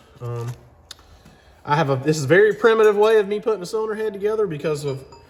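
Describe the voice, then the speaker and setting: A man with a Southern US accent talks at a fairly quick pace with lively intonation. Background noise is noticeable. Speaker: mechanic. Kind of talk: tutorial; casual chat. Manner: rambling, talkative.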